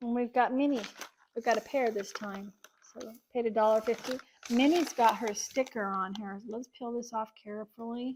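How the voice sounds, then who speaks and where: The speaker has a normal speaking voice at a moderate pace with fairly even intonation. Loudness swings widely. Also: woman, fairly high pitch for a woman. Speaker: online reseller and channel host. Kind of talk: casual unboxing vlog.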